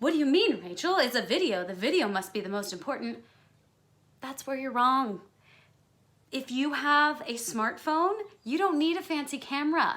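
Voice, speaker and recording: Loud and high-pitched, a woman speaks at a moderate pace with very wide pitch swings. She leaves long, frequent pauses. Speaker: musical theater performer and vocalist. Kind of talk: tutorial. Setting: home recording setup.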